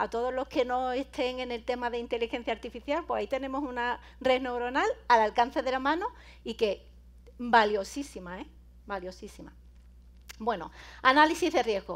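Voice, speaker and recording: A woman's high-pitched voice with an Andalusian accent, ordinary pitch variation, a moderate pace and long, frequent pauses. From Andalusia, Spain. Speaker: cybersecurity speaker and lecturer; speaker, lecturer. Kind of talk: conference talk. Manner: animated, informal. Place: hall.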